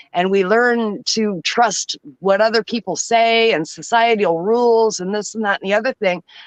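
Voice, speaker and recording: A woman speaks at a moderate pace in a fairly high voice with ordinary pitch variation and an animated tone. The sound is dry and close, with no echo. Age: 60s. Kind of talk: casual chat.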